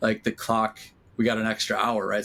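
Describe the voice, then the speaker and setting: A man talks with a fairly low pitch. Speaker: podcast host and DJ promoter. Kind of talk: casual chat. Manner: loud at times.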